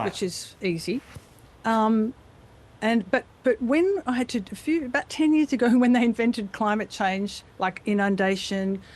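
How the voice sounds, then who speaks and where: This woman speaks with an Australian accent and a fairly high pitch. Her intonation is lively. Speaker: voice actor. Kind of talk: interview answer. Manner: casual, chatty.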